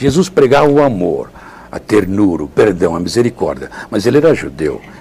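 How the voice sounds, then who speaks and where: A man talks with very wide pitch swings. Noticeable background noise sits behind him. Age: 70s. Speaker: friar and retreat preacher. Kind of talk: interview testimony.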